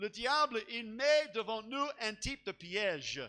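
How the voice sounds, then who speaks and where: A man with an English accent, his voice raised and projected, bright and sharp in tone, at a very slow pace with ordinary pitch variation. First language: English (speaking French). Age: old. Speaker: pastor. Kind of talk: sermon. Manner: halting, with many repeated words.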